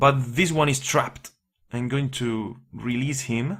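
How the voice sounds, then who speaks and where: Somewhat breathy and at a medium pitch, a man speaks at a very slow pace. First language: not English. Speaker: indie game developer. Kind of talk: gameplay tutorial. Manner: hesitant, many fillers.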